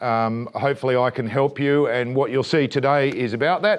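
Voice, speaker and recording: A man talks in an Australian accent. His intonation is fairly even. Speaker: solar company presenter. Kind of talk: training presentation. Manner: fast.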